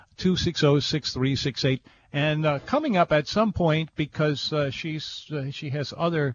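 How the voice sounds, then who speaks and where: Somewhat breathy, a man's fairly high-pitched voice moves with ordinary pitch variation. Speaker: radio host. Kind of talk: casual chat. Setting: studio. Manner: halting.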